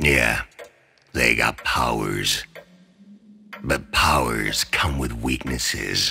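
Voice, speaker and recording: In a put-on character voice, a man speaks at a very slow pace with a raspy, very deep, low pitch. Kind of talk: audio drama performance. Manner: grim, intense.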